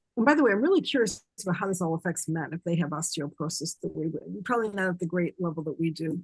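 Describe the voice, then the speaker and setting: A woman talks at a very fast pace with hardly any pauses and ordinary pitch variation, sounding somewhat breathy. The sound is dry and close, with no echo. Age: 60s. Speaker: colon hydrotherapist, webinar attendee asking a question. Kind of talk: live Q&A on a webinar.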